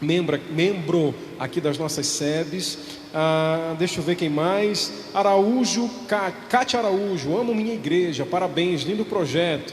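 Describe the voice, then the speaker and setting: A man speaks slowly, his pitch high and its variation ordinary. The room echo is audible, and background noise is noticeable. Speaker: parish livestream host. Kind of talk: live church broadcast, reading comments.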